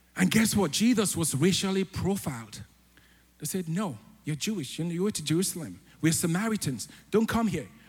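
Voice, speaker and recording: At a fairly quick pace, a man with a high pitch talks in an animated tone with lively intonation. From Africa. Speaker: church elder preaching. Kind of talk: sermon. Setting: church.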